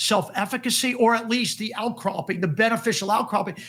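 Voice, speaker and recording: An energetic tone with ordinary pitch variation comes through on a very clean recording with a silent background. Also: man. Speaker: CEO and leadership consultant. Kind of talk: interview.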